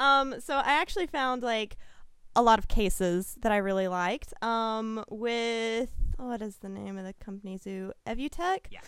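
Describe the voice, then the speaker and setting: A woman with an unremarkable speaking voice talks at a moderate pace, her fairly high pitch carried on lively intonation with big swings in loudness. The recording is very clean, and the background is silent. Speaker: associate editor and photographer. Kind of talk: casual chat.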